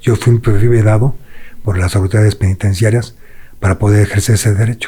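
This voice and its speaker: Here a man speaks at a fairly quick pace with a fairly low pitch and a dark, mellow tone. His voice is somewhat breathy, with very even loudness and fairly even intonation. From Mexico City. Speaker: former prisoner. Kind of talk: interview.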